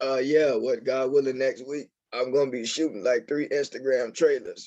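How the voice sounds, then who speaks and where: Keeping to a moderate pace, a man speaks at medium pitch in a monotone, flat way. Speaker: filmmaker and aspiring pro wrestler. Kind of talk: casual interview. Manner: halting, repeats words.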